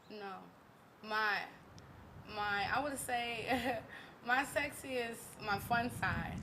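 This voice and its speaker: A woman at a fairly high pitch and very slow pace, with fairly even intonation, long, frequent pauses, audible room echo and noticeable background noise. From US South, Louisiana. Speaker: singer. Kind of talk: interview chat. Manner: halting.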